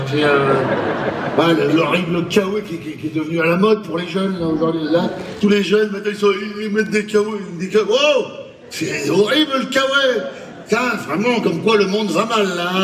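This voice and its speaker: Over noticeable background noise, a man talks at a moderate pace in a high voice. He leaves long, frequent pauses. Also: ordinary pitch variation. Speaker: stand-up comedian. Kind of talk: live stand-up comedy performance. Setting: live stage show.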